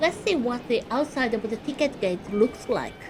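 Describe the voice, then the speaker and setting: Speaking at a fairly slow pace, a woman has a high-pitched voice over noticeable background noise. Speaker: travel guide. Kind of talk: travel guide narration. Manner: calm.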